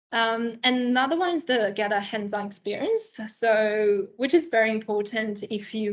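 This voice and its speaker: A woman with an ordinary speaking voice, fairly high in pitch, talks at a moderate pace with ordinary pitch variation and hardly any pauses over a quiet background. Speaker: marketing agency professional. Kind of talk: career talk presentation.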